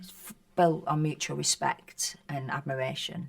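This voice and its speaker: The speaker has a Northern English accent. The pace is moderate. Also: woman. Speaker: actress. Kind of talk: interview answer. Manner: casual, conversational.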